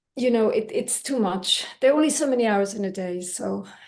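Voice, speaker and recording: A woman with a Swedish accent, fairly high in pitch, lively in intonation, at a moderate pace. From Belgium (Brussels), Finnish-Swedish family. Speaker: language teacher. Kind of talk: casual chat. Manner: halting, repeats words.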